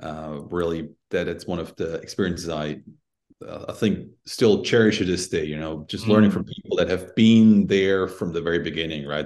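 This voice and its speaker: A man with a very deep, low pitch speaks with ordinary pitch variation. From Switzerland. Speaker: tech executive. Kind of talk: interview.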